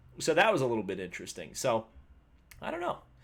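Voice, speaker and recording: A man mumbles in an Indiana accent on a very clean recording with a silent background. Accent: Hoosier (Indiana). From Indiana, US Midwest. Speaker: motorsport YouTuber. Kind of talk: live stream race review. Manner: mumbly, self-described mush mouth.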